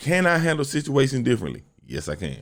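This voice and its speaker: An animated male voice with vocal fry at a moderate pace, in a very clean recording over a silent background. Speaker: podcast host. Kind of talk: solo podcast monologue.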